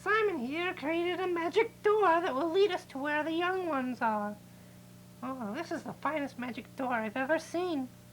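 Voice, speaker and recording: A cartoonish character voice, female-sounding and high-pitched, moves at a moderate pace. Clear background noise can be heard. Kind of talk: children's TV comic acting. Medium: puppet show. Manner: fretful, flustered, many 'oh dear' interjections.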